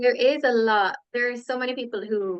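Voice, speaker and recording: A woman with an Irish accent speaks at a moderate pace with ordinary pitch variation. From Ireland. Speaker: podcast guest, yoga teacher and social media manager. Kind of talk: casual interview chat.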